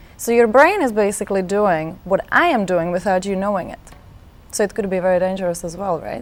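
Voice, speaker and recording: A woman talks at a fairly quick pace with a medium pitch and ordinary pitch variation, against noticeable background noise. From Czech Republic. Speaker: life coach. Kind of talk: interview. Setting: studio.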